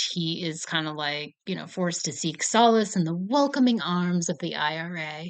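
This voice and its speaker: A woman with an American accent and a normal speaking voice talks at a fairly low pitch with ordinary pitch variation and hardly any pauses against a quiet background. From United States. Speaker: film review vlogger. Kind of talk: casual chat. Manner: casual, filler-heavy.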